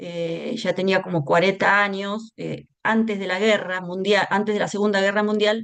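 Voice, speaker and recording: A woman's monotone, flat delivery with hardly any pauses. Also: medium pitch for a woman, moderate pace. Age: 60s. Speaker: educator and humanist speaker. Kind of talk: talk in an online seminar. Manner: hesitant, many fillers.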